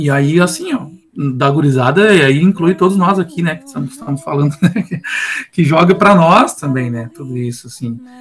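With noticeable background noise behind him, a man talks at a moderate pace in a fairly high pitch, his intonation lively and his loudness swinging widely. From Rio Grande city, southern Rio Grande do Sul, Brazil. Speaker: music teacher. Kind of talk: casual chat.

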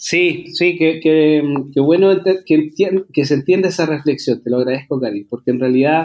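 Here a man talks at a moderate pace. His fairly high pitch shows ordinary pitch variation. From Chile, Santiago. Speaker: singer-songwriter. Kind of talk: interview. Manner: halting, many repetitions.

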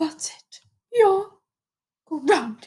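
In a put-on character voice, a female-sounding speaker goes extremely high in pitch. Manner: stern, commanding.

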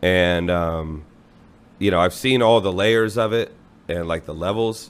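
A man talks in a very deep, low voice. His pace is fairly slow and his intonation fairly even. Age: 30s. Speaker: music promoter and musician. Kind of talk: casual chat.

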